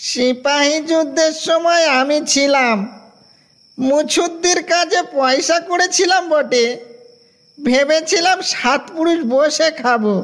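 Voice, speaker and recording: A high, put-on character voice moves at a very slow pace. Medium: audio drama. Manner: mild, conversational.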